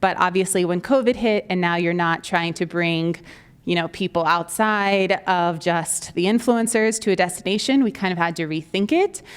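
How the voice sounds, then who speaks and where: A woman speaks in an animated tone at a moderate pace. The recording is very clean, with a silent background. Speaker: marketing agency executive and conference speaker. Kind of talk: conference presentation.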